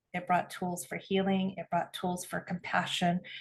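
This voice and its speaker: Somewhat breathy female speech at a moderate pace. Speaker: spiritual podcast co-host, earth-based medicine practitioner. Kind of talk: casual conversation.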